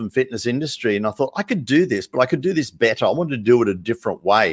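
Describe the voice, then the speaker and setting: Lively intonation from a man in an Australian accent, medium in pitch, dry, close sound with no echo. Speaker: sales coach. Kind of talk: live webinar talk.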